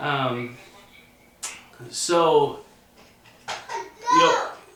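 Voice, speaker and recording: Amid noticeable background noise, a man talks at a fairly high pitch with ordinary pitch variation. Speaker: auctioneer, student teacher. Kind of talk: instructional talk to camera.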